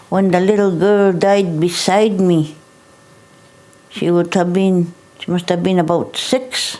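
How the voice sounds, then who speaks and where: A woman's voice amid noticeable background noise. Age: 70s. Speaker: residential school survivor. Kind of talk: testimony.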